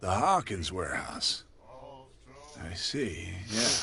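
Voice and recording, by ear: A put-on character voice, bright and sharp in tone, with big pitch swings and a slow pace. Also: man, low pitch for a man.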